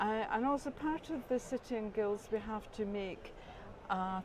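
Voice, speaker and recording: With noticeable background noise behind her, a woman speaks at a moderate pace and medium pitch. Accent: Scottish. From Scotland. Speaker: quilting course graduate. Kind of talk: interview.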